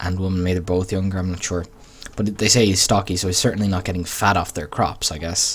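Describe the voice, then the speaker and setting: With an Irish accent, a man talks at a very fast pace in a fairly low voice. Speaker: gaming YouTuber. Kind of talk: let's play commentary with reading aloud. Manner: slurred.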